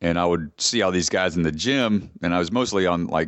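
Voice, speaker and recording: A man speaks with a Southern US accent at a fairly quick pace. His pitch is very deep and low. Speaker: ninja athlete and personal trainer. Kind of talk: casual interview.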